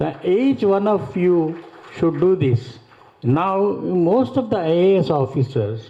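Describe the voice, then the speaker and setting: A man with a high pitch speaks at a very slow pace, his pitch swinging very widely while his loudness stays very even, over noticeable background noise. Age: 70s. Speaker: retired college principal and author. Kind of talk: speech at a literary festival. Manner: halting.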